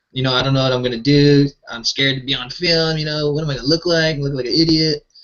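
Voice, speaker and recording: Very fast speech comes from a man with a fairly high voice. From Hawaii, Oahu (Mililani). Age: 30s. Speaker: entrepreneur and video creator. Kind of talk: casual interview chat. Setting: live video hangout.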